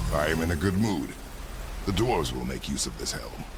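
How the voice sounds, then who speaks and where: Someone talks at a fairly quick pace in a put-on character voice. Loud background noise fills the recording. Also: man, very deep, low pitch for a man. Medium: machinima. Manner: terse, gruff.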